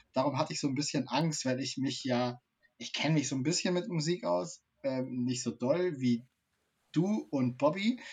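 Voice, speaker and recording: A man with a fairly high pitch talks at a moderate pace, somewhat breathy and with lively intonation. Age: 30s. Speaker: streaming show co-host. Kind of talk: casual chat.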